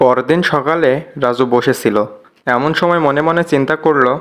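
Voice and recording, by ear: Speaking at a fairly slow pace, a man with a medium pitch uses a fairly bright tone and fairly even intonation.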